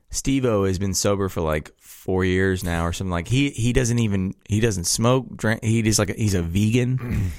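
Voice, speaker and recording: A man with an ordinary speaking voice talks at a moderate pace with hardly any pauses. His pitch is fairly low, with ordinary pitch variation. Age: 20s. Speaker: podcast co-host. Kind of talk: casual chat.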